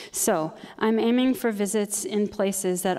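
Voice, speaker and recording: This woman's voice has a dark, mellow tone. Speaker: choreographer. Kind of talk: artist presentation. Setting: retreat presentation to audience. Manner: fast.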